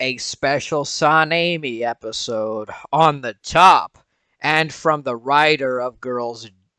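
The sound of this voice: Over a quiet background, an unforced reading voice carries ordinary pitch variation.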